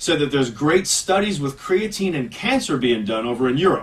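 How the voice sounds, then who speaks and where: Pitch varies in an ordinary way while the delivery moves fairly quickly. There is noticeable noise in the background. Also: man. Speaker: radio host. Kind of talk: casual chat. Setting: studio. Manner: fast.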